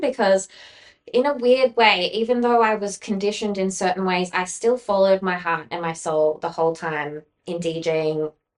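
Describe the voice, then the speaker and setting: Moderately paced female speech with ordinary pitch variation. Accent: Australian. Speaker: former DJ, podcast guest. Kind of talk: casual interview chat, personal story. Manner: loud; valley-girl style, many fillers.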